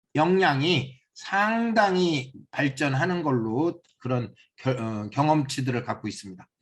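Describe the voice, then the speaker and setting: A man with a plain, everyday voice speaks at a fairly slow pace and a fairly high pitch. His intonation is lively over a quiet background. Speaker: seminar instructor. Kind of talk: lecture.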